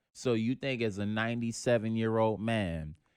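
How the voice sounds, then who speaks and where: A man with a New York accent and a fairly low pitch speaks at a moderate pace in a dry, close sound with no echo on a very clean recording with a silent background. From New York City. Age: 20s. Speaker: comedian. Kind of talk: casual chat.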